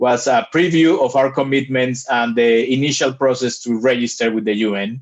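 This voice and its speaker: In a plain, everyday voice, a man of medium pitch talks at a moderate pace against a quiet background. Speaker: climate initiative presenter. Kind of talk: presentation to a committee.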